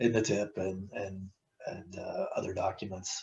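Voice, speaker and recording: A somewhat breathy man at a moderate pace. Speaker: transportation planning staff presenter. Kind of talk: public meeting presentation. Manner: halting, many fillers and repetitions.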